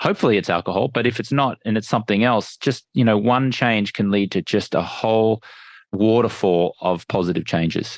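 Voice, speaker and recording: This speaker has an Australian accent, a fairly quick pace, ordinary pitch variation and very even loudness. The sound is dry and close with no echo, against a quiet background. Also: man, fairly low pitch for a man. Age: 40s. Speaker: entrepreneur and sleep expert. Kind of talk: podcast interview. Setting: on the road, remote interview.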